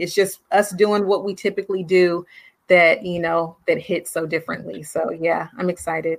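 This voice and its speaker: A woman speaks at a moderate pace in a fairly low pitch. Her intonation stays monotone and flat. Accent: American. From US West Coast, Oakland. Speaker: author and teacher. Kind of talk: interview.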